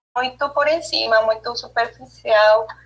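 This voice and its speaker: Speaking very slowly, a woman uses a fairly high pitch with a non-native accent. Her intonation is fairly even. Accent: foreign accent in Portuguese. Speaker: theatre study group member. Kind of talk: study group presentation. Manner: halting.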